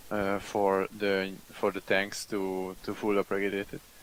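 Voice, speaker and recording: A man with a Hungarian accent speaks at a very slow pace. His pitch is fairly low. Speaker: online game community representative. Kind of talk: group discussion. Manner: halting.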